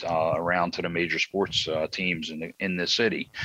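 A man speaks with a Philadelphia accent at a moderate pace, his pitch very deep and low. His tone is bright and sharp, and the sound is dry and close with no echo. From South Philadelphia, US. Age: 60s. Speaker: baseball commentator. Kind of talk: casual chat. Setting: outdoors on a deck.

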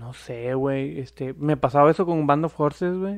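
Here is a man with a plain, everyday voice and a fairly high pitch. He talks at a fairly slow pace with ordinary pitch variation. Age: 30s. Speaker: podcast co-host. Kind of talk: casual chat.

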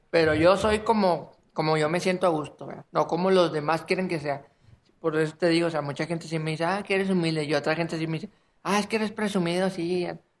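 His pitch is high and his intonation fairly even. The man talks at a very fast pace. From Monterrey area, northern Mexico. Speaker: rapper. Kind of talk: casual chat.

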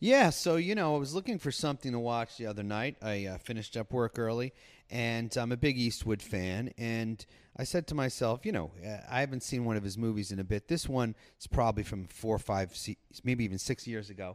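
In a very clean recording with a silent background, a man with a normal speaking voice talks at a fairly quick pace, medium pitch, and ordinary pitch variation. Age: 50s. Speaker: podcast guest. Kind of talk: casual chat. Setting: on location at a lakeside hotel.

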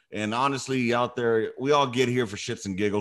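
Lively in intonation, a man with an American accent talks at a fairly quick pace in a normal speaking voice. The background is quiet. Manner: profane, casual.

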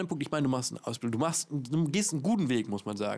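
A man with lively intonation and an animated tone. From Hamburg. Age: 20s. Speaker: podcast host. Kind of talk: casual chat. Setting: outdoors.

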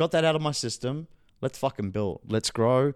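On a very clean recording with a silent background, a man with an Australian accent and medium pitch speaks at a moderate pace with lively intonation. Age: 30s. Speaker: NFT entrepreneur and event host. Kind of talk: interview. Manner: animated.

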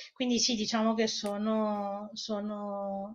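A woman speaks very slowly with a Spanish accent, her intonation monotone and flat. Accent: Italian with a Spanish lilt. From Italy. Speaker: researcher on Iran. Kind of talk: interview.

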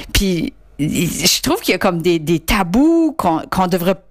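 The pace is moderate. The pitch swings very widely. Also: woman. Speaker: listener. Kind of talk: recorded voice message. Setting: recorded clip sent in.

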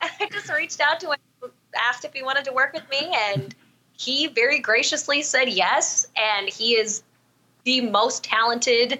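A woman with an American accent talks at a moderate pace with ordinary pitch variation. She has an ordinary speaking voice. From Southern California. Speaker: podcast host and singer. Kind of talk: casual interview chat.

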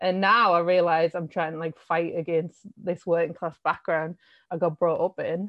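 The speaker talks with a Sunderland accent at a moderate pace in a monotone, flat intonation. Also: woman, fairly low pitch for a woman. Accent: Sunderland (Mackem) northeast English. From northeast England, Sunderland. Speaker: art curator. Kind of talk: casual interview.

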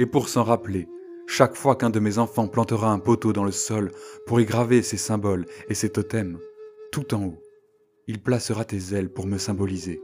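Over music in the background, the speech moves at a moderate pace with long, frequent pauses. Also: man, fairly low pitch for a man. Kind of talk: storytelling, scripted-style folk tale narration. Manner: animated storyteller, lively and expressive; voices characters, with a gentle, dramatic delivery.

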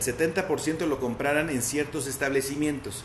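With noticeable background noise and audible echo in the room, a man is heard talking. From Mexico, León, Guanajuato. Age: 30s. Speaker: municipal legal official. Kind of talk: interview. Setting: video call.

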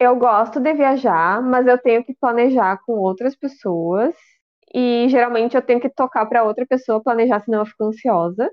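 A woman talks at a high pitch and a moderate pace, with ordinary pitch variation. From Rio Grande do Sul, Brazil. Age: 30s. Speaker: podcast co-host. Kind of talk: casual chat.

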